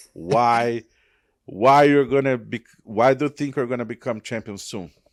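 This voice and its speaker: A man with a Portuguese accent speaks at a moderate pace and medium pitch with ordinary variation, the sound dry and close with no echo. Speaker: MMA journalist. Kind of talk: interview.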